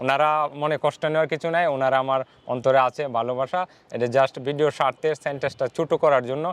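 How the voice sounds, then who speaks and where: A man with an unremarkable speaking voice and fairly high pitch is heard in a dry, close sound with no echo. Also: fairly even intonation. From Bangladesh, Kishoreganj (Bajitpur). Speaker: advocate's clerk and content creator. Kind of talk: interview.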